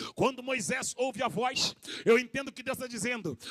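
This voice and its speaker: A man's extremely high voice with ordinary pitch variation, dry and close with no echo, over noticeable background noise. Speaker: pastor. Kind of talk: sermon. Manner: animated.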